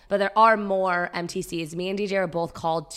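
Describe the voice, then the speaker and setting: A woman speaks at a very fast pace with a medium pitch. Her intonation stays fairly even. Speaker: podcast co-host. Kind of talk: casual chat. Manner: talkative.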